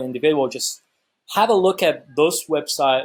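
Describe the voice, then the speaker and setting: A man with an Egyptian accent speaks at a fairly high pitch with ordinary pitch variation. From Egypt (Cairo). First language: Arabic. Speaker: YouTuber sharing travel experiences. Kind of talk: casual vlog explainer. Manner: fast; halting, many fillers and restarts.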